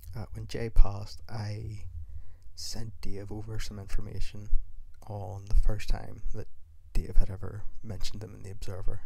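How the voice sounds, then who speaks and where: A man speaks with a Northern Irish accent. His pace is moderate. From Northern Ireland. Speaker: wrestling podcaster. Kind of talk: solo podcast commentary.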